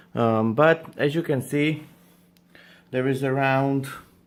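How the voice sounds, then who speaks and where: In a very clean recording with a silent background, a man speaks with a non-native accent. His pitch is medium, with ordinary variation. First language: not English. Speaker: reptile breeder and YouTuber. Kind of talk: tutorial. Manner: halting, many fillers.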